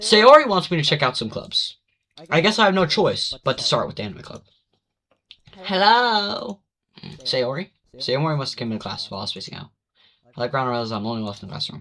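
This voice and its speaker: With a bright, sharp tone, a man speaks very fast, his fairly high pitch swinging very widely. Long, frequent pauses break up his speech. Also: big swings in loudness. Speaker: gaming youtuber. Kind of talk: reading aloud. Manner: stuttering.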